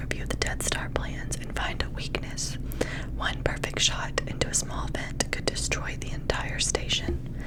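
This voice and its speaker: Whispering at a fairly slow pace, a woman speaks over noticeable background noise. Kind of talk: whispered book reading, ASMR. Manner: whispered, soft, close-mic.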